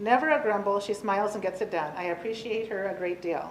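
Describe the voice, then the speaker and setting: A woman with a fairly high pitch speaks at a fairly quick pace with ordinary pitch variation. Audible room echo and noticeable background noise surround her voice. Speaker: county staff presenting employee award. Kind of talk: reading aloud nomination letters at public meeting. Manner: fast.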